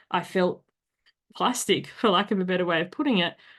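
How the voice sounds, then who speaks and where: A woman with an Australian accent, speaking at a fairly quick pace with ordinary pitch variation over a quiet background. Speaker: podcast host. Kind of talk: casual chat. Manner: animated.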